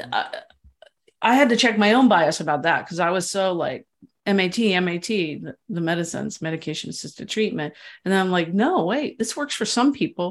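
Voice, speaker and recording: A woman has an unremarkable speaking voice at a medium pitch, with lively intonation and a fairly quick pace. The background is quiet. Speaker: author and journalist. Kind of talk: interview.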